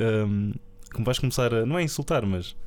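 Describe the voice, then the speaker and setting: A man talks at a moderate pace with a European Portuguese accent. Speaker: film podcast co-host. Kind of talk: casual chat.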